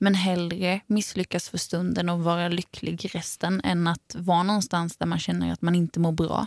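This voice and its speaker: The speech comes at a moderate pace with hardly any pauses, in a monotone, flat intonation and a dry, close sound with no echo. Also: woman, fairly low pitch for a woman. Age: 20s. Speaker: podcast co-host and musician. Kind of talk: casual chat.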